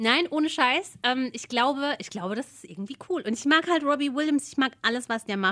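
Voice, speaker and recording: A woman with a high pitch uses a raised, projected voice and lively intonation. She talks at a fairly quick pace with hardly any pauses and big swings in loudness. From Odenwald, southern Hesse. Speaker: podcast co-host. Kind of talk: casual chat.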